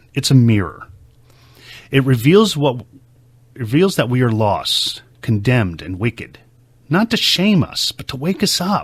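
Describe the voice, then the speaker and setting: A man's medium-pitched, somewhat breathy voice at a fairly slow pace, with very wide pitch swings and long, frequent pauses, on a very clean recording with a silent background. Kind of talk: casual talk to camera, teaching monologue. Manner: earnest, conversational.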